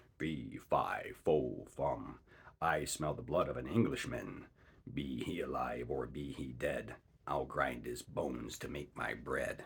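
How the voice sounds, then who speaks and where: A man puts on a character voice that is raspy and booming. It sits very deep and low, delivered at a fairly slow pace. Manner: threatening.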